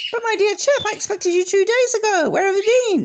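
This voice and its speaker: A man's put-on character voice, squeaky and extremely high-pitched, at a fairly quick pace. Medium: read story. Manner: genial, earnest, clubby.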